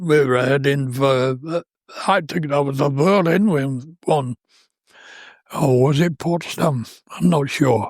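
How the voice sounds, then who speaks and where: In a British accent, the speaker goes at a very slow pace with long, frequent pauses and ordinary pitch variation. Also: man, fairly high pitch for a man. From India. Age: 80s+. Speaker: war veteran. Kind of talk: interview. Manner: halting.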